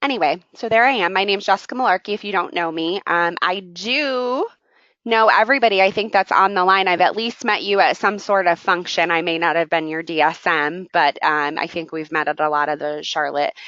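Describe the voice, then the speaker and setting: At a fairly quick pace, a woman with an ordinary speaking voice and medium pitch talks with lively intonation. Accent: American. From New York state, small industrial town. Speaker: sales leadership trainer. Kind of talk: online training seminar. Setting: web conference.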